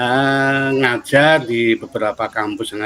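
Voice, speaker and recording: A man of medium pitch at a very slow pace with ordinary pitch variation, amid noticeable background noise. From Central Java, Solo. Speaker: head of university study program. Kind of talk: interview.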